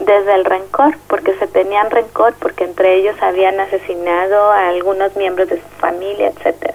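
Speaking in a Mexico City accent with fairly even intonation, the voice sits over noticeable background noise. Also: woman. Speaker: social psychologist. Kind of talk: interview. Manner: halting.

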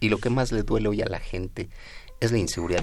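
This man's pitch moves in a normal way while the room adds clear echo. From Mexico, Nezahualcóyotl, State of Mexico. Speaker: politician, election candidate. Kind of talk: radio interview.

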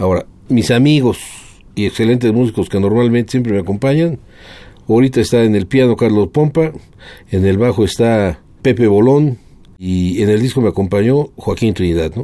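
A man speaks at a moderate pace with a medium pitch, a dark, mellow tone and ordinary pitch variation. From Mexico City. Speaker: guitarist and lawyer. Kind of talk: interview.

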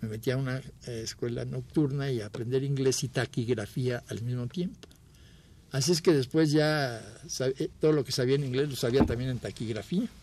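At a moderate pace, a man talks in a somewhat breathy, dark, mellow tone. His medium pitch shows ordinary pitch variation. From Mexico City. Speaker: photographer. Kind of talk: interview reminiscence.

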